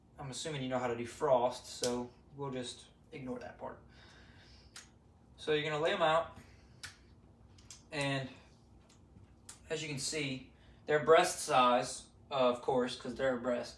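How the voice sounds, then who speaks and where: In a room with audible echo, a man at medium pitch talks at a moderate pace with fairly even intonation, big swings in loudness, and long, frequent pauses. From south Louisiana. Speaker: amateur cook, duck hunter. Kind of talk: cooking tutorial. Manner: casual, hesitant with fillers.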